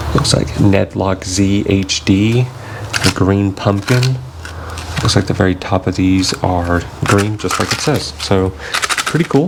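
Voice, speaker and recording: In an American accent, the speaker goes at a very slow pace with very even loudness and ordinary pitch variation, over noticeable background noise. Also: man, fairly low pitch for a man. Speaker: fishing youtuber. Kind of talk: product review tutorial. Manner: casual, hesitant with fillers.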